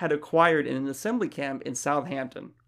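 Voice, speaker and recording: A man with an American accent and an unremarkable speaking voice talks at a moderate pace with lively intonation. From Florida, US South. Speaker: podcast co-host. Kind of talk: casual chat.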